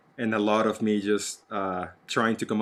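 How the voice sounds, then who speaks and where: A man speaks with a Spanish accent at a fairly low pitch. The recording is very clean, the background silent. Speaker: actor and podcast co-host. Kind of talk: casual chat.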